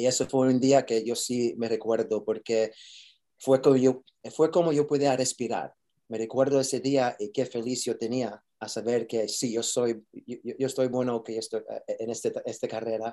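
In a very clean recording with a silent background, a man with a dark, mellow tone and medium pitch speaks at a moderate pace with fairly even intonation. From New York. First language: English (speaking Spanish). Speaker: actor. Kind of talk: interview. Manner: halting, code-switching.

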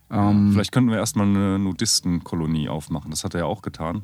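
A man's very deep, low pitch with ordinary variation, at a fairly quick pace. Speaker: podcast co-host. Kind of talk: casual chat.

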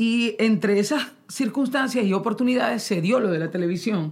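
A woman speaks in a Maracaibo accent. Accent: Maracaibo (maracucho) Venezuelan. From Venezuela, Maracaibo (Zulia). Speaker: singer. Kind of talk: casual chat. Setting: studio.

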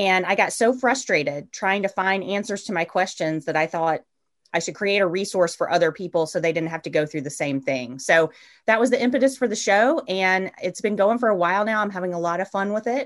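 In an ordinary speaking voice, a woman talks at a medium pitch and a fairly quick pace with lively intonation. The background is quiet. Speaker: podcast host. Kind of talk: casual interview conversation.

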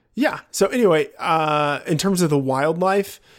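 A man talks in a normal speaking voice, pitched fairly high, with ordinary pitch variation. The recording is very clean, with a silent background. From Texas, rural area. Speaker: fantasy football analyst. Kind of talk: casual chat.

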